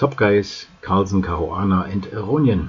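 Against noticeable background noise, a man talks at a fairly slow pace and a fairly low pitch. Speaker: chess news youtuber. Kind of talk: news roundup.

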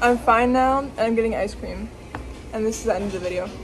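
Noticeable background noise sits behind a woman talking at a very fast pace. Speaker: vlogger after dental surgery. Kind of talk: casual vlog chat. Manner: swollen-mouthed speech after dental surgery.

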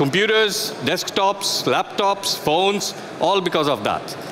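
A high-pitched man at a fairly slow pace with ordinary pitch variation, over noticeable background noise. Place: stage.

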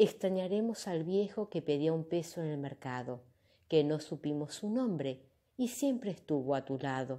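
A woman speaks fairly slowly in a very deep, low voice with very wide pitch swings. The recording is very clean, with a silent background. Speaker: yoga teacher or channel host reading a poem. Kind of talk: poem reading, solemn and reflective, performed aloud. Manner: slow, measured, heartfelt; earnest, contemplative, with emotional emphasis.

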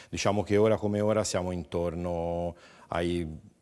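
Using a very deep, low pitch, a man talks with fairly even intonation. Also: quiet background. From Livorno, Tuscany. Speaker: chef. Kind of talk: cooking demonstration.

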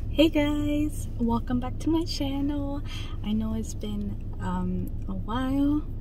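Speaking very slowly, a woman is heard in a dry sound with no echo and noticeable background noise. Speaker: mukbang creator. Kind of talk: casual talk to camera. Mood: cheerful, smiling greeting. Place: car. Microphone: phone near.

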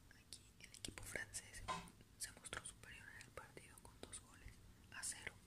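The voice is whispering and soft-spoken. It moves at a moderate pace. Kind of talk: casual commentary. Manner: soft ASMR whisper. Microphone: phone near.

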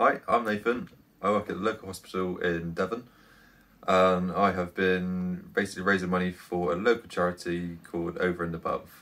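Monotone and flat, a man talks at a fairly quick pace with a very deep, low pitch. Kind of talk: to-camera appeal.

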